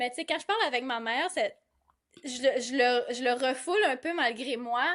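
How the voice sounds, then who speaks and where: Over a quiet background, a woman speaks at a moderate pace, high in pitch with ordinary pitch variation. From Gaspésie, Quebec (Carleton/Bonaventure area). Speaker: comedic content creator. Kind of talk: casual interview chat.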